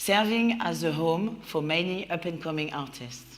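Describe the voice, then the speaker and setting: A woman with a French accent, fairly low pitch and ordinary pitch variation, with audible room echo. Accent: mild French. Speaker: creative producer and event host. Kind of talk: opening speech at live event. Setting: warehouse venue with audience. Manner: smiling voice.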